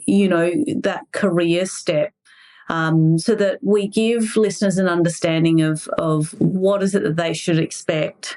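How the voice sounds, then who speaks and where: A woman with an Australian accent, medium in pitch, with ordinary pitch variation and very even loudness. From Mexico. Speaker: podcast host. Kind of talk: podcast interview.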